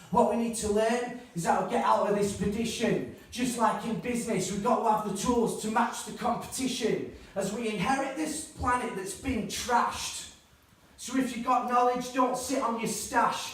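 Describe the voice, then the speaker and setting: The speaker has a Northern English accent, with noticeable background noise behind the voice. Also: moderate pace. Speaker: spoken word poet. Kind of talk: live spoken word poetry performance. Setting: live venue.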